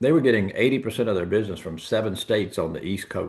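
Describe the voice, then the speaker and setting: A man with a Southern US accent speaks at a fairly low pitch. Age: 70s. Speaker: insurance agency owner. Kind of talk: interview. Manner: animated.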